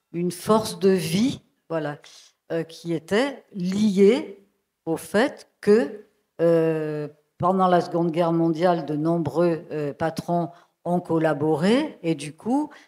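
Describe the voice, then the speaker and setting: Speaking very slowly with long, frequent pauses, a woman uses a fairly low pitch, ordinary pitch variation and a dark, mellow tone. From France, Lozère. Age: 70s. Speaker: sociologist. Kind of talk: public talk. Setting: stage with audience. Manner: halting.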